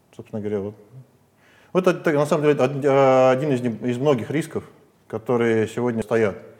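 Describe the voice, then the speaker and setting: Long, frequent pauses break up a man's speech, which otherwise keeps a moderate pace. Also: medium pitch for a man, ordinary pitch variation. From Siberia. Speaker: business owner. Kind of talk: interview. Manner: halting.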